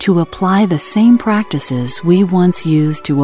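A woman speaks at a fairly slow pace with lively intonation, music playing in the background. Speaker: voice actor. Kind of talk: corporate narration.

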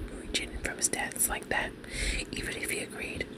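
Someone soft-spoken talks at a very fast pace. Loud background noise is present. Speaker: content creator. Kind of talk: reading a forum story aloud. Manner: soft-spoken ASMR reading voice. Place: home room.

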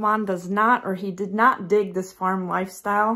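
The speaker is a woman. She goes at a fairly slow pace. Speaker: homesteading vlogger. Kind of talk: casual vlog chat. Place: home room. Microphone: phone near.

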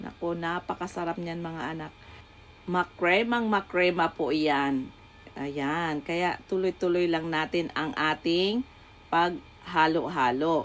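Music plays in the background while the speaker goes at a very slow pace with ordinary pitch variation. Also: woman, fairly low pitch for a woman. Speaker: home cook YouTuber. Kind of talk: cooking tutorial. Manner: warm, motherly, chatty.

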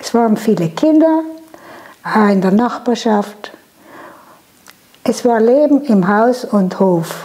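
Very slowly, a woman speaks. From Lana, South Tyrol, Italy. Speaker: contemporary witness. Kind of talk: interview answer. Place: home room. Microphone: lapel.

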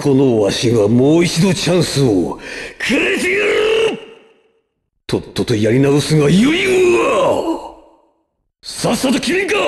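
Using a put-on character voice, a man talks at a fairly slow pace with long, frequent pauses and very even loudness. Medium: dub. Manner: commanding, theatrical.

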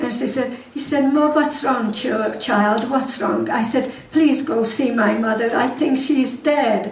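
A woman with a high pitch speaks very slowly in a Hungarian accent. Her voice carries audible room echo over light background noise. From Hungary. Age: 80s+. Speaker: war survivor speaker; guest. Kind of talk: church talk to congregation. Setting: church hall. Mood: emotional war memory. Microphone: headset.

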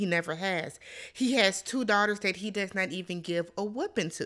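Moderate-paced speech from a woman, the background quiet. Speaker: reality show reviewer. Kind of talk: commentary. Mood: indignant, critical. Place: home room. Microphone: studio mic.

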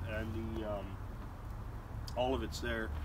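With noticeable background noise behind him, a man keeps a moderate pace. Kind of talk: casual vlog chat. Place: garden.

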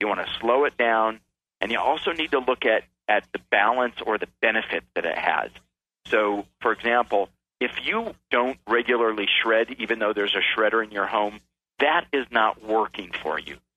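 A man with an American accent has a normal speaking voice and a medium pitch. He keeps a moderate pace with ordinary pitch variation. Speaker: author and keynote speaker. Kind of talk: radio interview.

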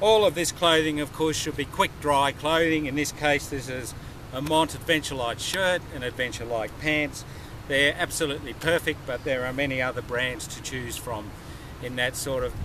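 Over noticeable background noise, a man talks at a moderate pace with ordinary pitch variation. The sound is dry with no echo. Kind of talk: tutorial. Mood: enthusiastic, friendly. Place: open country.

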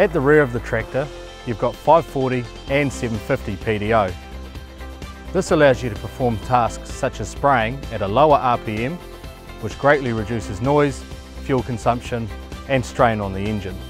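Clear music plays in the background as a man speaks at a moderate pace, with a dry sound and no echo. He leaves long, frequent pauses. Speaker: presenter. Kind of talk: product walkaround presentation. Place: open country. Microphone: lapel.

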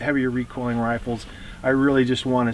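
A man speaks in a monotone, flat way, with a dry sound with no echo and light background noise. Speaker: shooting instructor. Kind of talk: instructional explanation. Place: open country.

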